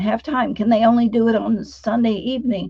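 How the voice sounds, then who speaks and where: This woman's voice is fairly high-pitched and somewhat breathy, with a dark, mellow tone. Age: 70s. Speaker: sound healing practitioner and trainer. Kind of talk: interview conversation.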